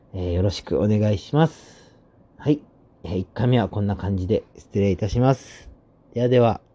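Pitch variation stays ordinary. The tone comes across as dark and mellow. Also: man, fairly low pitch for a man, moderate pace. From Osaka, Japan. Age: 20s. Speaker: podcaster on religion. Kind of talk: solo podcast introduction. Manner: casual with frequent fillers.

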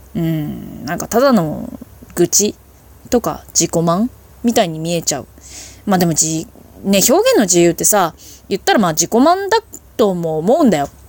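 With long, frequent pauses, a woman with a fairly low pitch speaks at a moderate pace and lively intonation. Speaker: solo podcaster. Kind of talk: casual monologue. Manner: self-deprecating, deferential tone; casual, chatty with fillers.

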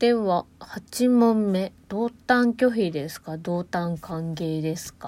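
A woman speaks at a very slow pace with hardly any pauses. Her tone is dark and mellow, and her intonation is lively. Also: medium pitch for a woman, big swings in loudness. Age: 20s. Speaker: podcaster. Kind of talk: casual solo talk. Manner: hesitant, many fillers.

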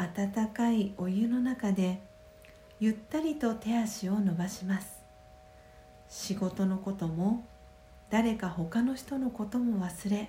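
A woman at medium pitch with ordinary pitch variation, very slow and with long, frequent pauses, music in the background. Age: 30s. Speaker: podcast host and meditation guide. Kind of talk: guided meditation; solo morning radio talk. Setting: home.

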